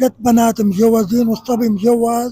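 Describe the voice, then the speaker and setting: A man speaks with a Syrian accent and a high pitch. There is noticeable background noise. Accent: Syrian Levantine Arabic. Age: 70s. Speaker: man on the street interviewee. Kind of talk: street interview.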